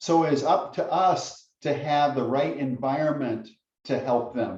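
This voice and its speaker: With audible room echo, a somewhat breathy man speaks at a very slow pace in a fairly high pitch with ordinary pitch variation. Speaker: guest speaker on parenting. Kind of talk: lecture. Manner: intense.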